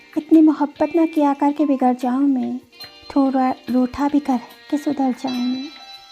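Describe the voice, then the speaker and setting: With music in the background, a woman speaks in a high pitch and a monotone, flat intonation. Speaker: poetry reciter. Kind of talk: poetry reading.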